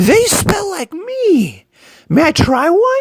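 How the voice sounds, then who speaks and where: A squeaky, put-on character voice at an extremely high pitch moves very slowly with very wide pitch swings. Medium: read story.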